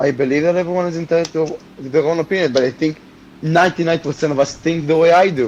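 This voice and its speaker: A man's very fast, fairly high voice in an Israeli accent with fairly even intonation. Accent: Israeli (Hebrew). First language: Hebrew. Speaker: debate guest on a stream. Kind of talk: heated debate. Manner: halting, stumbling over words.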